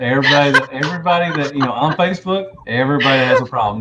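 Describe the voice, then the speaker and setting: Over noticeable background noise, a man with a Southern US accent talks at a very fast pace, his fairly high pitch making very wide swings. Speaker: toy collector video host. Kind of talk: casual interview.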